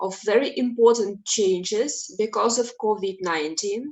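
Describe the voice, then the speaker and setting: Very slow speech from a fairly high-pitched woman with a non-native accent and ordinary pitch variation. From Russia. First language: Russian. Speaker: clinical psychology professor. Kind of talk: webinar lecture.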